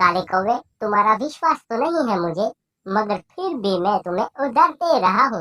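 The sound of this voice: A female-sounding cartoonish character voice comes out at a fairly high pitch. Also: moderate pace.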